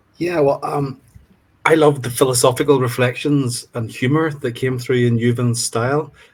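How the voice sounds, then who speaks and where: Speaking in a Northern Irish accent, a man with a medium pitch and a somewhat breathy voice talks at a moderate pace with fairly even intonation. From Northern Ireland, County Fermanagh. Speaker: literature student. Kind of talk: panel discussion.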